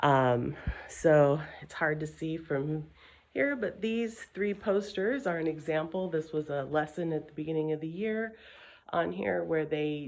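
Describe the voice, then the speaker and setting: Quietly and at a fairly slow pace, a woman speaks with a very deep, low pitch and ordinary pitch variation. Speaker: school administrator giving a tour. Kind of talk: guided video tour. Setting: walking through an empty school building. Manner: casual, with many fillers; speaking quietly.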